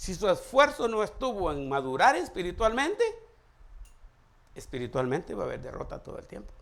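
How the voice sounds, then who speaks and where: Audible room echo surrounds a man whose loudness swings widely and who takes long, frequent pauses. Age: 60s. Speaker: pastor. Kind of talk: sermon.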